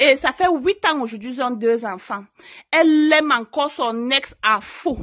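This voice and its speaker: A woman talks loudly at a high pitch with lively intonation. Her pace is fairly slow. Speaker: YouTuber giving relationship advice; channel host. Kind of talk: story time vlog. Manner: naturally loud, forceful voice; hesitant, many fillers. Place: home room.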